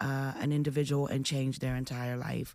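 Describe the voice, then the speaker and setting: A woman with a Philadelphia accent speaks at a very deep, low pitch in a dark, mellow tone, with fairly even intonation. The recording is very clean with a silent background. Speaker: radio host. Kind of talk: radio interview.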